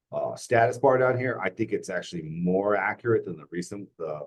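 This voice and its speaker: Here is an unremarkable speaking voice from a man with a fairly low pitch. He goes at a fairly quick pace with ordinary pitch variation. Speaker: software trainer at work meeting. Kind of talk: tutorial.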